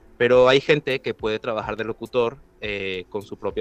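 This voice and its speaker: A man's medium-pitched, fairly quick speech with ordinary pitch variation, an unremarkable speaking voice. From Venezuela. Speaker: voice actor. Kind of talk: interview.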